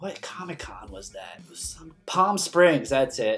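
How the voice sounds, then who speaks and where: With music playing in the background, the speaker uses an American accent at a moderate pace, and the pitch swings very widely. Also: man. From Maryland, US. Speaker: podcast host. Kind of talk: casual interview.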